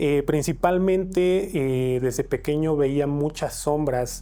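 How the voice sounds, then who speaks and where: With a Mexican accent, a man talks at a fairly slow pace in a fairly high pitch with ordinary pitch variation and a dark, mellow tone. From Mexico, State of Mexico. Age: 20s. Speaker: interviewee sharing paranormal experiences. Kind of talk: testimony. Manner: hesitant, many fillers.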